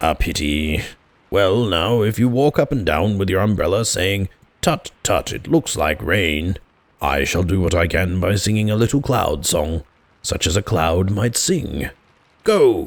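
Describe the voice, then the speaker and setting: Using a put-on character voice, a man speaks at a fairly low pitch. His pace is moderate. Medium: read story. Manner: earnest, solemn, slightly anxious.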